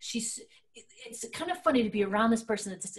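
The background is quiet. A woman is speaking. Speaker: show co-host. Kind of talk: casual talk-show chat. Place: home room.

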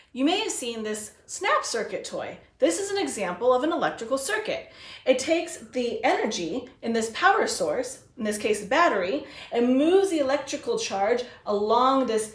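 A woman speaks at a high pitch and a moderate pace. Audible room echo surrounds her voice. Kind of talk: educational lesson for children. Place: home room. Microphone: camera far.

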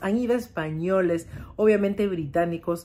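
With a Peruvian accent, a woman talks at a moderate pace and medium pitch. Her tone is animated, with ordinary pitch variation. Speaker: vlogger and home cook. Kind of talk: casual vlog talk to camera.

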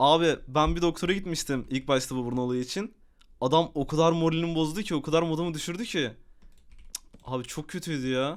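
Over a very clean recording with a silent background, a man talks fairly quickly in an animated tone, his fairly high pitch showing ordinary variation. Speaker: gaming streamer. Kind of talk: casual live stream chat.

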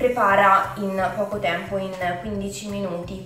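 Over clear background music and audible room echo, a woman talks at a fairly slow pace in a monotone, flat intonation. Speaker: food vlogger. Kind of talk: casual vlog chat. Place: kitchen. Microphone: camera far.

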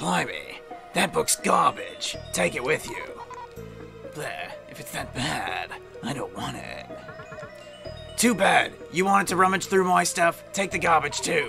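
A man's put-on character voice at a fairly slow pace over clear background music. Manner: grumpy, irritable.

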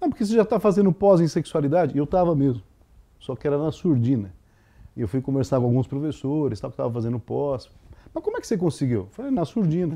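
A man speaks very fast with a fairly high pitch and very wide pitch swings. His tone is dark and mellow. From Brazil, São Paulo. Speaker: psychologist and sex therapist. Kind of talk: interview. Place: home room. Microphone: lapel.

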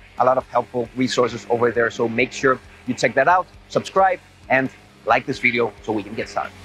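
A man's fairly quick speech with ordinary pitch variation, faint background music, and a dry sound with no echo. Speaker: fitness coach. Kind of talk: casual vlog intro. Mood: upbeat, relaxed. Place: open country.

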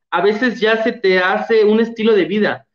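A man at a moderate pace with ordinary pitch variation, audible room echo and a quiet background. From Guerrero, Mexico. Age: young. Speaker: former award winner, nursing graduate. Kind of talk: testimony. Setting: video call. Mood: warm, enthusiastic. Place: home room. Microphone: video call.

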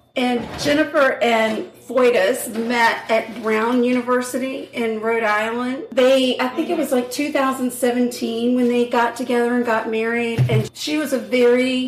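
Speaking at a fairly slow pace with hardly any pauses, the voice has fairly even intonation over noticeable background noise. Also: woman. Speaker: true crime podcast co-host. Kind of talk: casual chat, true crime storytelling. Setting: home kitchen.

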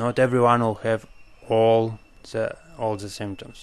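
A man's medium-pitched voice at a moderate pace, with a strong non-native accent. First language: not English. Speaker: medical doctor. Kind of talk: educational lecture.

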